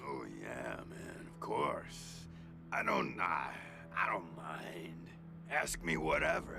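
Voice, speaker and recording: A man's put-on character voice at a very slow pace over loud background noise. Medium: virtual streamer. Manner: slow, laid-back, hesitant, says "man" and "uh" often.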